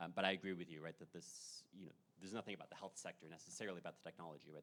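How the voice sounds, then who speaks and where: A man with a very deep, low pitch, talking at a very fast pace with fairly even intonation. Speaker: political scientist presenting research. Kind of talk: conference Q&A response. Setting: conference session with audience. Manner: halting, many repetitions and fillers.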